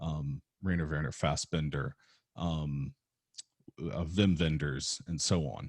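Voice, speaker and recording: With vocal fry and a very deep, low pitch, a man speaks in fairly even intonation with long, frequent pauses, in a dry, close sound with no echo. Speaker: film teacher. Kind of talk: recorded lecture. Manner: halting, stuttering; casual, hesitant with many fillers.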